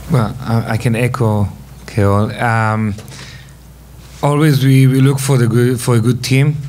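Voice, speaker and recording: A man's fairly slow speech with fairly even intonation, long, frequent pauses, and light background noise. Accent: Israeli. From Israel. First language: Hebrew. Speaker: venture investor. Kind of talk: panel discussion. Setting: stage with audience. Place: stage. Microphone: podium.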